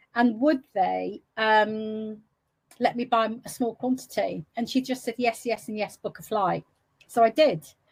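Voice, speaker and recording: At a fairly slow pace, a woman talks with ordinary pitch variation. Her voice is somewhat breathy and fairly high in pitch. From England, West Midlands. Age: 60s. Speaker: entrepreneur. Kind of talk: interview.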